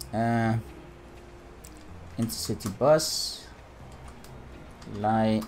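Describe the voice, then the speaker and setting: Music plays in the background while a man with a Dutch accent speaks at a medium pitch. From Netherlands. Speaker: gaming YouTuber. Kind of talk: let's play gameplay commentary. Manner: casual, hesitant.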